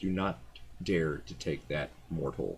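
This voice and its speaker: Booming and very deep, a man's put-on character voice moves at a fairly slow pace. Background noise is clearly audible. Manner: menacing, commanding.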